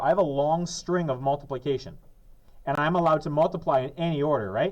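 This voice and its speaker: Here a man speaks in an ordinary speaking voice, pitched fairly high. His pace is fairly quick, with ordinary pitch variation. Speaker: math teacher. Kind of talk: classroom lesson.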